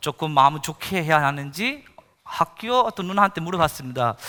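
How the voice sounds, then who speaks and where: A man's fairly high, bright and sharp voice with lively intonation, on a very clean recording with a silent background. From India. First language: Indian language, not Korean (speaking Korean). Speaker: missionary pastor. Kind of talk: sermon testimony. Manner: halting, many fillers.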